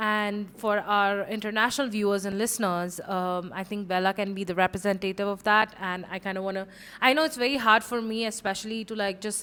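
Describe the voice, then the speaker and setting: Bright and sharp in tone, a woman speaks at a medium pitch and a fairly quick pace, with fairly even intonation and hardly any pauses. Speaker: podcast co-host. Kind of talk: casual chat.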